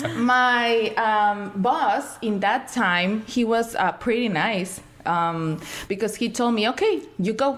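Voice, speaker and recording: A woman with a Spanish accent speaks at a very slow pace and a fairly high pitch. Her pitch variation is ordinary, and there is noticeable background noise. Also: very even loudness. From Mexico, Sinaloa. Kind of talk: podcast interview.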